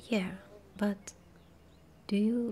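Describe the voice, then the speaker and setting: A woman speaks very slowly and softly. Her voice is somewhat breathy. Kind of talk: ASMR gaming ramble. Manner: soft-spoken.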